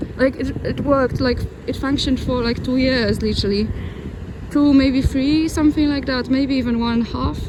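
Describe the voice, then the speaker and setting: A woman with a high pitch speaks at a moderate pace in a monotone, flat delivery, with noticeable background noise and audible room echo. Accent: non-native. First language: not English. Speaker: travel vlogger. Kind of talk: vlog narration while walking. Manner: halting, frequent restarts.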